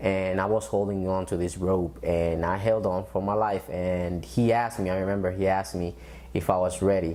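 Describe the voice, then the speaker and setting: A man speaks with a Spanish accent at a very deep, low pitch with a dark, mellow tone. His pace is moderate and his pitch variation ordinary. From Dominican Republic, then Bronx New York. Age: 20s. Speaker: military veteran and student. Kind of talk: interview testimony.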